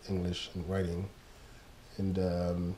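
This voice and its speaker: A man with a very deep, low voice speaks at a moderate pace in a flat monotone, with audible room echo. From Ghana, Accra. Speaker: graphic designer. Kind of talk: interview. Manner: reflective, with many fillers.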